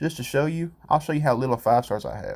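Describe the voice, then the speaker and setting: With a rural American accent, a man speaks in lively intonation. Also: very clean recording, silent background. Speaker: gaming YouTuber. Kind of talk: gameplay commentary. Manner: casual, self-correcting.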